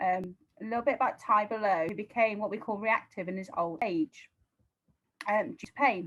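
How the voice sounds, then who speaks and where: In a British accent, a woman speaks at a fairly quick pace. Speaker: dog trainer. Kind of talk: live-stream webinar talk. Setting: live video stream. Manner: animated.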